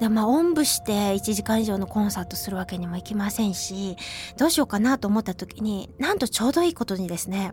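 A woman at a very fast pace, medium pitch and lively intonation, amid noticeable background noise. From Hiroshima, western Japan. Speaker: radio host and traditional flute player. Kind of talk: casual radio talk. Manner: chatty, lively.

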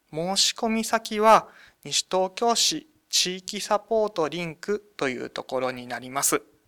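A man speaks in a raised, projected voice that is high-pitched with a bright, sharp tone and very wide pitch swings, recorded dry and close with no echo on a very clean track with a silent background. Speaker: municipal government staffer. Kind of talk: radio interview.

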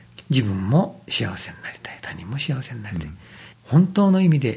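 A somewhat breathy man's voice of medium pitch at a fairly quick pace, with very wide pitch swings and audible room echo. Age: 50s. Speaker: Buddhist temple priest. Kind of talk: radio talk. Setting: temple room. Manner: polite, formal.

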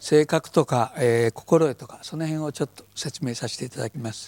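His dark, mellow tone sits at a fairly high pitch as the man speaks at a moderate pace, the sound dry and close with no echo. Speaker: yoga teacher. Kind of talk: lecture.

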